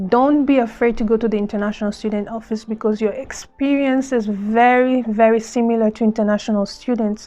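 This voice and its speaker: Hardly pausing, a woman with a fairly high pitch speaks in a monotone, flat intonation. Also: fairly quick pace. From Democratic Republic of Congo. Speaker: vlogger, former refugee. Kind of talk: casual vlog talk to camera.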